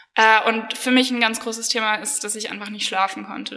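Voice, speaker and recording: A fairly high-pitched woman speaks with fairly even intonation over noticeable background noise. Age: 20s. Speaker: medical student with chronic illness. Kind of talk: personal testimony interview.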